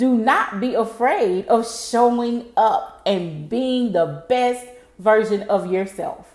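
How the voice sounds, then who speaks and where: Her voice sits at a fairly high pitch for a woman. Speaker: motivational speaker. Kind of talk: live stream motivational talk. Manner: energetic.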